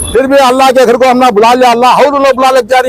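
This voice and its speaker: A man speaks at an extremely high pitch with crowd noise in the background. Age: 60s. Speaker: umrah pilgrim. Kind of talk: interview.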